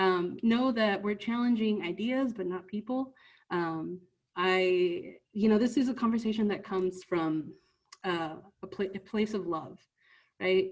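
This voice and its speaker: A woman with a Spanish accent, medium pitch and a fairly slow pace. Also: ordinary pitch variation. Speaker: youth trainer. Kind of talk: training presentation. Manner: conversational with frequent filler words.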